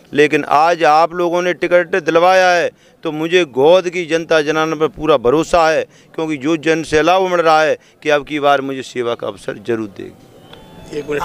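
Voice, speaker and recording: In a plain, everyday voice, a man speaks at a fairly high pitch with fairly even intonation. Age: 50s. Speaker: election candidate. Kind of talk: interview.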